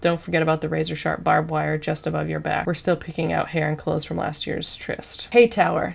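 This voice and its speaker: A woman speaks softly. Her pace is very fast. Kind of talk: reading course obstacle descriptions aloud with comments. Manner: soft-spoken.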